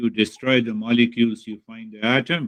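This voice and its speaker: Speaking at a fairly slow pace, a man with an Indian accent uses a medium pitch. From India, Bihar. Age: 60s. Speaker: spiritual teacher. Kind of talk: spiritual talk to students.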